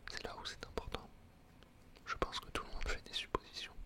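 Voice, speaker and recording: Through noticeable background noise, a man can be heard whispering. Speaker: coach. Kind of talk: ASMR whispered talk. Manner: whispered; hesitant, many filler sounds.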